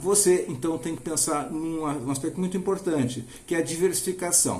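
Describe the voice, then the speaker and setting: There is audible room echo around a man whose voice is fairly high in pitch. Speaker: finance educator. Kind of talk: tutorial. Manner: fast; hesitant, with fillers.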